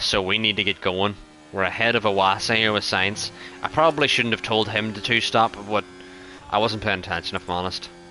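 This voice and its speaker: Music plays in the background as a man with a fairly low pitch talks at a fairly quick pace with fairly even intonation. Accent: Irish. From Ireland. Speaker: gaming streamer. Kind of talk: live gameplay commentary. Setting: live stream. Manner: casual, conversational.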